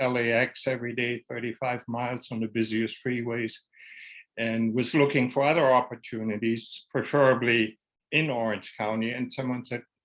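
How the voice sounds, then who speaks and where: A man speaks at a moderate pace, his pitch medium and his intonation fairly even. The background is quiet. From Germany. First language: German. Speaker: destination management logistics specialist. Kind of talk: interview.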